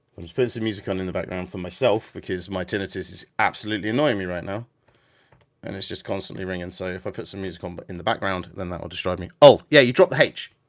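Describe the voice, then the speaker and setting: Very fast speech from a man with a very deep, low pitch and a southern English accent, ordinary pitch variation, big swings in loudness, and a very clean recording with a silent background. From England, about fifty miles north of London. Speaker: gaming livestreamer. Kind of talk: casual livestream chat. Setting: vertical livestream with music in background. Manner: hesitant, many fillers.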